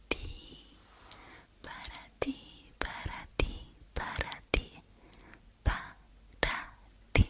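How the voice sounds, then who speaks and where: A woman whispers, her pace very slow. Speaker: ASMR creator. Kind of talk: soft-spoken ASMR intro chat. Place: home room. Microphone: studio mic.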